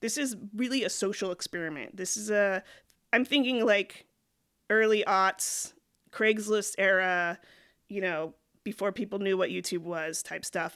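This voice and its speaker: A woman's medium-pitched voice at a moderate pace, with ordinary pitch variation, on a very clean recording over a silent background. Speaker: YouTuber / vlogger. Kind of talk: casual vlog monologue. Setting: recording alone at a laptop.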